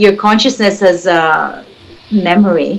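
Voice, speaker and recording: With a Filipino accent, a woman speaks at a very slow pace using ordinary pitch variation. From Philippines. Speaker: spiritual healer. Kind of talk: interview. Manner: halting.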